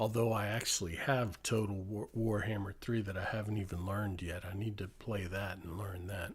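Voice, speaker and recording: The voice is somewhat breathy and flat, with monotone intonation. It runs on with hardly any pauses. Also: man, fairly low pitch for a man, moderate pace. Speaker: ASMR streamer. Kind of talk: live stream chat. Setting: live stream with chat. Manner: soft-spoken, relaxing; halting, many fillers.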